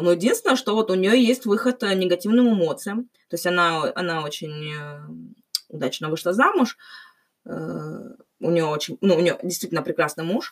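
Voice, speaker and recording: Here is a woman with a plain, everyday voice at medium pitch. Her intonation is lively and her pace moderate. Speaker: podcast host. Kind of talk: casual chat. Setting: call.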